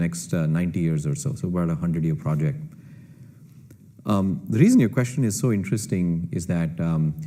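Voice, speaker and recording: With a Kannada accent, a man talks at a fairly quick pace in a dark, mellow tone. His pitch swings very widely, and room echo is audible. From India. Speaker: computer scientist and entrepreneur. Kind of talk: panel Q&A answer.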